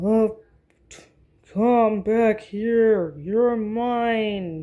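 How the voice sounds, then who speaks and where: A bellowing, female-sounding put-on character voice at a fairly high pitch. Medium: read story.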